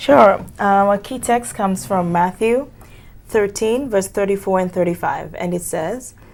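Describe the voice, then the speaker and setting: Speaking with a Kenyan accent, a woman talks at a moderate pace. Her pitch is medium, with ordinary variation. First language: Kisii. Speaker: seminary student. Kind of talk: small group Bible study.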